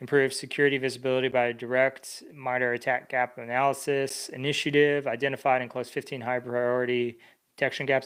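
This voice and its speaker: A man speaks in a monotone with flat intonation. The recording is very clean, with a silent background. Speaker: cybersecurity streamer reviewing resumes. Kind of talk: live stream resume review. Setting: livestream. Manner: hesitant, many fillers.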